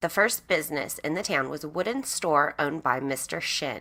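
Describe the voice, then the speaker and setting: With an American accent, the speech unfolds at an even, middling speed. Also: woman. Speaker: true crime podcaster. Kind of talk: scripted narration.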